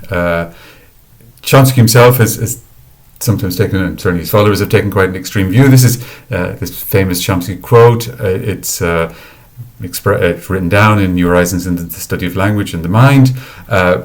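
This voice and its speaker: In an Irish accent, a man with a fairly low voice talks at a fairly quick pace with ordinary pitch variation and audible room echo. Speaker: academic researcher. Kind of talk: lecture. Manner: halting, many fillers and repetitions.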